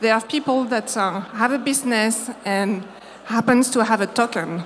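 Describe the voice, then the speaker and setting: There is noticeable background noise as a woman talks with a French accent. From France. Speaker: marketing agency founder. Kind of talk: conference talk. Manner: halting.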